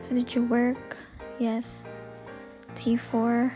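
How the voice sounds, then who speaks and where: With music in the background, a woman whispers quietly at a very slow pace. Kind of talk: screen-recorded tutorial narration. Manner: quiet, near whisper in parts.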